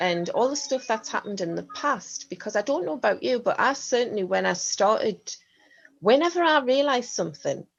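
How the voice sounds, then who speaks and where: Her intonation lively, a woman talks at a fairly quick pace. Vocal fry runs through her voice. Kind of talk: podcast conversation.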